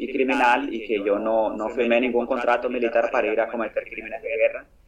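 Very fast speech from a man, medium in pitch, with fairly even intonation. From Nicaragua. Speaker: war veteran and activist. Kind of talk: interview.

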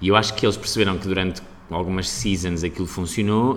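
In a room with audible echo, a man with a very deep, low pitch talks at a very fast pace in a monotone, flat intonation. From Portugal, Aveiro. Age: 30s. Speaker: actor. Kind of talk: casual chat.

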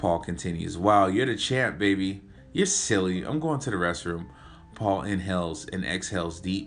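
An unforced reading voice is heard here.

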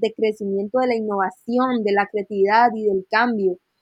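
A woman with an ordinary speaking voice, fairly high in pitch, at a moderate pace. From Costa Rica. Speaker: UX researcher and designer. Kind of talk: casual interview.

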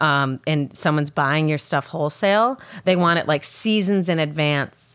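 A woman with a Midwestern American accent speaks at a very deep, low pitch. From US Midwest (Illinois and Michigan). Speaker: shop owner and fashion designer. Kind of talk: casual interview.

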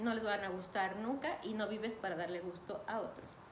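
Noticeable background noise and audible room echo accompany a woman. She speaks at a moderate pace with a Mexican accent. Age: 30s. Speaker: podcast host. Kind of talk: casual monologue.

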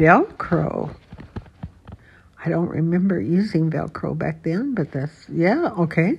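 A soft-spoken woman talks at a very slow pace with long, frequent pauses over noticeable background noise. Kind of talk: casual chat.

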